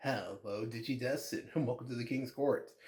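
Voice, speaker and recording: With a dark, mellow tone, a man speaks in a somewhat breathy voice with fairly even intonation. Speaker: trading card game content creator. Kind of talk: casual talk to camera.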